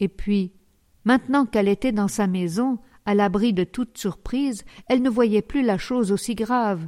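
A natural reading voice, its pitch moving in an ordinary way

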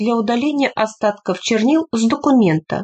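This is plain reading aloud. Its pitch varies in an ordinary way.

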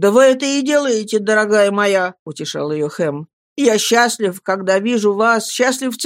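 Quiet background, with a natural reading voice.

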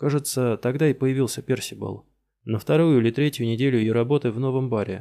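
A natural reading voice carries the clip. Behind it, all is quiet.

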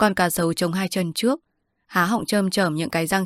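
Fairly even intonation in an unforced reading voice, quiet background behind it

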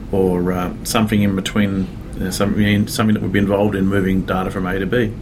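With an Australian accent, a man talks in a fairly low pitch and a flat monotone. Noticeable background noise and audible room echo fill the recording. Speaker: software developer. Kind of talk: interview. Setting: conference. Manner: hesitant, many fillers.

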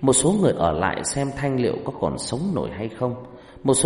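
The intonation is lively in this unforced reading voice.

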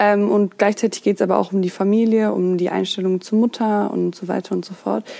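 Delivered at a fairly quick clip with hardly any pauses, the voice has a dark, mellow tone and a monotone, flat intonation. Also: woman, medium pitch for a woman. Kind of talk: casual monologue. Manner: hesitant, many fillers.

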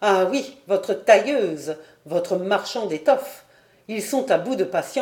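Plain reading aloud with lively intonation.

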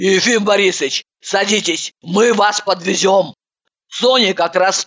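In a natural reading voice, the text is read with a quiet background behind it.

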